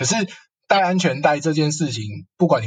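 A man talks at a very fast pace in a somewhat breathy, fairly high-pitched voice. His pitch varies in an ordinary way. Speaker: counseling psychologist. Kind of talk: casual interview chat.

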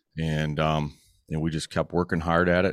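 A man's very deep, low voice in an American accent, dry and close with no echo, on a very clean recording with a silent background. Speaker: motorcycle club founder and documentary maker. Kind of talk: casual interview chat.

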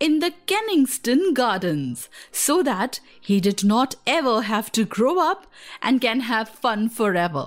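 Simply reading aloud in a natural voice

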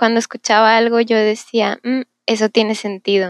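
A woman speaks in a plain, everyday voice, pitched fairly high, with fairly even intonation. The sound is dry and close, with no echo. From Mexico, Monterrey. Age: 20s. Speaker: university student. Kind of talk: testimony.

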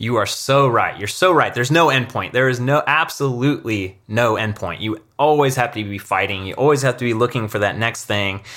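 A man speaks at a fairly quick pace with hardly any pauses, his medium-pitched voice bright and sharp in tone with ordinary pitch variation. The recording is very clean, with a silent background. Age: 30s. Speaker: YouTuber and mountain biker. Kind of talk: interview conversation. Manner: casual, animated.

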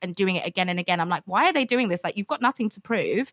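Recorded very cleanly against a silent background with a dry, close sound and no echo, a woman with an unremarkable speaking voice talks at a medium pitch with ordinary pitch variation. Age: 20s. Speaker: food business founder. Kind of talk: interview.

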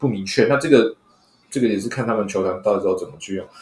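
A man speaks at a very fast pace. His voice sits at a medium pitch. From Taiwan, Hsinchu. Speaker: sports fan, former sports columnist. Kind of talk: casual chat.

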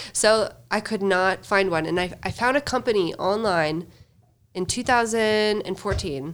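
A woman with an American accent and an ordinary speaking voice talks at a fairly slow pace and medium pitch, with ordinary pitch variation, on a very clean recording with a silent background. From US Upper Midwest (Fargo, North Dakota). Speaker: entrepreneur. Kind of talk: casual interview.

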